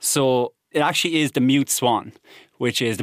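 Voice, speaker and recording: A man with an Irish Midlands accent, dry and close with no echo. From Ireland, Offaly (midlands). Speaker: ornithologist and biodiversity officer. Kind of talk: casual chat.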